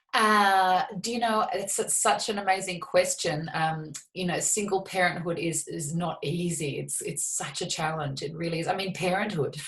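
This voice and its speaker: Hardly pausing, a woman speaks at a moderate pace in a medium pitch with ordinary pitch variation. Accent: Australian. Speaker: shamanic psychotherapist and healer. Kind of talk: interview. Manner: animated.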